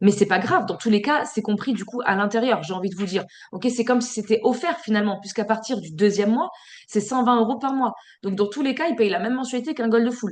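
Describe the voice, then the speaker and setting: This woman talks at a very fast pace. Her fairly high pitch shows ordinary variation. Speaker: sales team trainer. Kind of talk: online training session. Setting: video call. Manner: filler-heavy.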